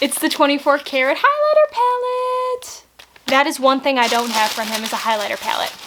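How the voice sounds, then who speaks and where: The speaker has an American accent. There is noticeable background noise. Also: woman. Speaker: beauty vlogger. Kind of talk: casual unboxing vlog. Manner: animated.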